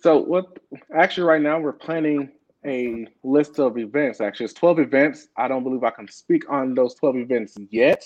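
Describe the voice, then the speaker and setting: Here is a man with an unremarkable speaking voice and an American accent. His pitch is fairly high with ordinary variation, and his pace is moderate. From Beaumont, Texas. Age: 20s. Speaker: state house candidate. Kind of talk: interview.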